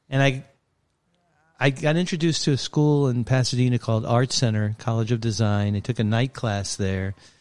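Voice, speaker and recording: In a very clean recording with a silent background, a man speaks at a fairly quick pace in an unremarkable speaking voice with ordinary pitch variation. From Brooklyn, New York. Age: 60s. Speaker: sports photographer. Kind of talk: casual interview.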